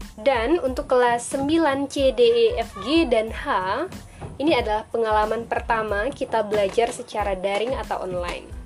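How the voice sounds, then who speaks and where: Over music in the background, a woman with a fairly high pitch talks at a moderate pace and ordinary pitch variation. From Indonesia, Sambas, West Kalimantan. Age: 20s. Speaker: teacher. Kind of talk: online lesson.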